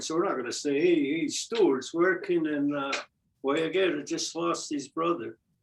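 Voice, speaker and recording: The delivery moves fairly slowly. Its pitch shifts in an ordinary way. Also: man. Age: 70s. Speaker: Mohawk language teacher. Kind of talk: language class discussion.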